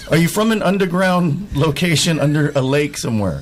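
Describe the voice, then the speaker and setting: With noticeable background noise behind him, a man uses a fairly high pitch and lively intonation. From US, California. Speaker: stand-up comedian. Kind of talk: radio interview. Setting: radio studio.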